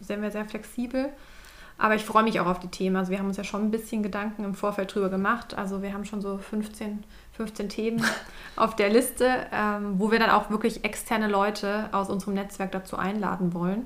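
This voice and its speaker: Against noticeable background noise, a woman of medium pitch speaks at a fairly quick pace in a monotone, flat intonation. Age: 20s. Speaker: innovation consultant and podcast co-host. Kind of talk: casual chat.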